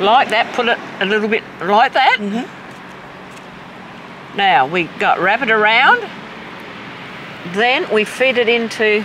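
Speaking at a very slow pace with long, frequent pauses, a woman uses a fairly high pitch and ordinary pitch variation over noticeable background noise. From south-east South Australia. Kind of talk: weaving tutorial and casual conversation.

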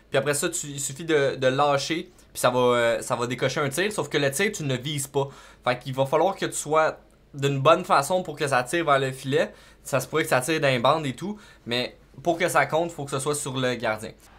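A man speaks with a Quebec accent. His pace is moderate and his pitch variation ordinary. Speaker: gaming YouTuber. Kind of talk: gameplay tutorial. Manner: casual, hesitant with fillers. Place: home room.

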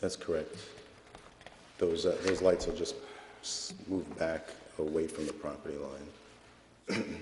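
A man's very slow speech full of long, frequent pauses, with audible room echo and light background noise. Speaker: site engineer presenting project. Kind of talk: formal presentation to a board. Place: meeting room. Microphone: podium.

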